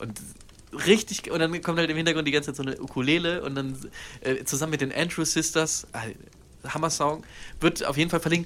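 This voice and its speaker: A man with an ordinary speaking voice talks at a fairly quick pace, his fairly high pitch held in fairly even intonation. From Germany, Cologne. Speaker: podcast co-host. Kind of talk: casual chat.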